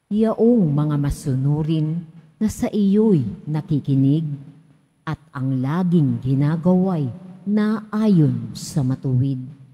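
Very slowly, a woman speaks in a very deep, low, dark, mellow, somewhat breathy voice with lively intonation. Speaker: lay lector. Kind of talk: scripture reading aloud. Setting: church.

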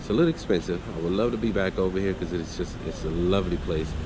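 A man with a very deep, low pitch speaks at a fairly quick pace, his pitch varying in an ordinary way, as noticeable background noise carries on. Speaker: vlogger host. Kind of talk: casual vlog chat. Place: garage. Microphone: phone near.

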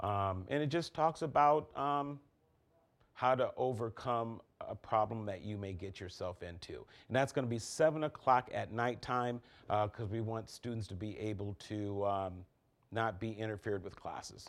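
His pitch rises and falls in an ordinary way. The man speaks at a moderate pace. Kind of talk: interview answer. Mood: upbeat, friendly. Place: studio. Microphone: lapel.

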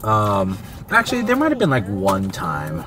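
The speech moves at a moderate pace. The sound is dry with no echo, and noticeable background noise is present. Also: man. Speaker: family vlogger. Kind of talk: casual mukbang vlog chat. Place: car.

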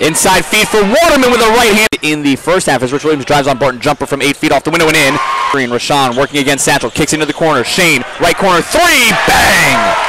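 Over loud background noise, a man with a fairly high voice talks very fast in an energetic, animated tone, with hardly any pauses and a dry, echo-free sound. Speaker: college basketball play-by-play announcer. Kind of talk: live play-by-play sports commentary over game highlights. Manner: rapid-fire, clipped, punchy calls, rising excitement on made threes; energetic, animated, with exclamations. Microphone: headset.

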